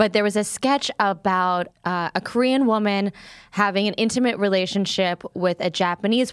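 A woman with an unremarkable speaking voice talks at a moderate pace and a medium pitch. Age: 30s. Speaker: comedian. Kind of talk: casual chat.

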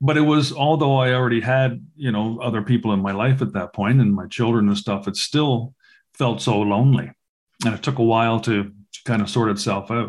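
A man's unremarkable speaking voice, described as "an unremarkable speaking voice," at a fairly quick pace and medium pitch, with ordinary pitch variation. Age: 60s. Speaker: podcast host. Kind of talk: casual interview chat.

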